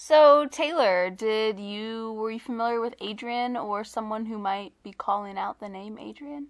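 A woman speaks in a normal speaking voice at a fairly slow pace, her fairly high pitch moving with ordinary variation, with hardly any pauses and big swings in loudness. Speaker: podcast co-host. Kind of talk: casual podcast chat. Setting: recorded remotely, not in the same room.

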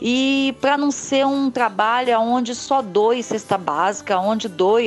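With music playing in the background, a woman speaks fairly slowly at a fairly high pitch with ordinary pitch variation. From Cariacica, Espírito Santo, Brazil. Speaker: community project founder. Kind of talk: testimony.

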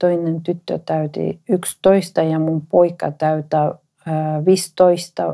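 A woman with a Spanish accent speaks at a very slow pace and a fairly low pitch. Her tone is dark and mellow, and her intonation is monotone and flat. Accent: Spanish-accented Finnish. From Ecuador. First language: Spanish (speaking Finnish). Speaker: entrepreneur. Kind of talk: personal testimony interview. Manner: halting.

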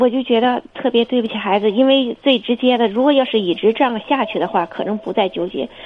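A woman with an unremarkable speaking voice, fairly high in pitch with ordinary pitch variation, at a fairly quick pace with hardly any pauses. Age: 40s. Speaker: caller. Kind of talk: phone-in confession.

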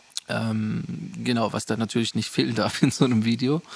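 A man at a fairly quick pace. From southwest Germany (Rottweil, Baden-Württemberg). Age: 20s. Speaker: photographer and videographer, podcast host. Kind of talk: casual chat.

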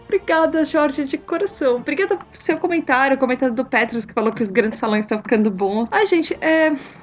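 Against noticeable background noise, a woman speaks very fast at a high pitch with hardly any pauses, her loudness swinging widely and her pitch moving through very wide swings. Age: 40s. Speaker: podcast host. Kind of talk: reading listener comments.

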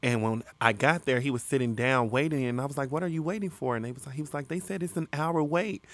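A man talks at a very fast pace with hardly any pauses. The recording is very clean, with a silent background. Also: ordinary pitch variation. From Chicago, west side. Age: 20s. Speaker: rapper and singer. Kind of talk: casual chat.

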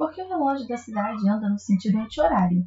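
A woman talks with a fairly high pitch and ordinary pitch variation. Her voice is somewhat breathy. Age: 20s. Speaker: literary podcast host. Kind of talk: book review monologue.

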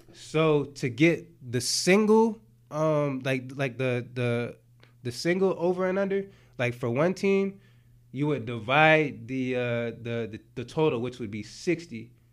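In an American accent, a plain, everyday voice talks at a fairly slow pace. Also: man, medium pitch for a man. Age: 30s. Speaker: sports bettor. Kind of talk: casual chat.

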